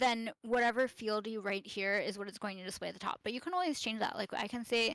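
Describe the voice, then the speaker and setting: With hardly any pauses, a woman rattles along at a very fast pace, her pitch fairly high and her pitch variation ordinary. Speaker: wiki tutorial instructor. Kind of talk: live tutorial. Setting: live stream on Discord. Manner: hesitant fillers.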